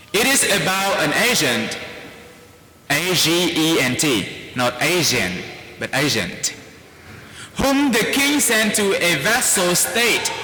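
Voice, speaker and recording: A man with a Vietnamese accent speaks at a very slow pace with long, frequent pauses, very wide pitch swings, and very even loudness. Noticeable background noise and audible room echo fill the recording. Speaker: priest. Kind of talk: sermon.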